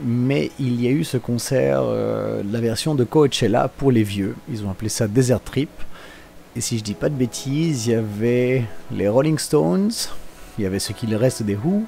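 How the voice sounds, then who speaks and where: Over music in the background, a man with a Belgian accent talks at a fairly slow pace, his pitch medium and its variation ordinary. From Belgium. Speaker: car vlogger. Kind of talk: live voice-over commentary. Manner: casual, hesitant with many fillers.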